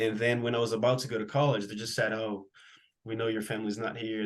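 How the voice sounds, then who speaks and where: Using fairly even intonation, a man talks in a Portuguese accent. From Brazil (Pará). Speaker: college soccer player. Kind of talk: interview. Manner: halting.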